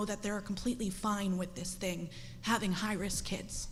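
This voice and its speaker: A woman's voice with fairly even intonation, audible room echo and noticeable background noise. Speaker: parent speaking at public comment. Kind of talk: public comment speech. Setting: school board meeting. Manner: emotional.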